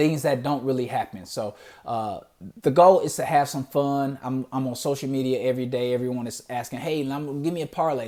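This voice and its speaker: A dark, mellow tone in a Detroit accent, fairly quick pace and ordinary pitch variation, very clean recording against a silent background. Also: man. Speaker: podcast host. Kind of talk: solo podcast introduction. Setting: in front of a camera. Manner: casual, conversational with fillers.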